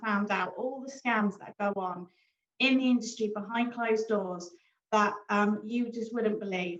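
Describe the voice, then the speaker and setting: This speaker has a British accent and a moderate pace. Intonation stays fairly even. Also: woman. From Britain. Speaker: forex trader and broker founder. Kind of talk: business presentation. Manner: casual, many fillers.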